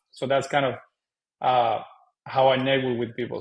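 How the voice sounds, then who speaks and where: With a Cuban accent, a man talks at a medium pitch. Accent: Cuban Spanish accent, non-native English. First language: Spanish. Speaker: real estate investor. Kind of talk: interview conversation. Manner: hesitant, many fillers.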